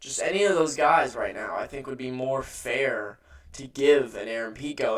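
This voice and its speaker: There is noticeable background noise behind a man's voice. He talks at a moderate pace with lively intonation. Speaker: MMA commentator. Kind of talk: casual commentary monologue. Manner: halting, stuttering; many filler words.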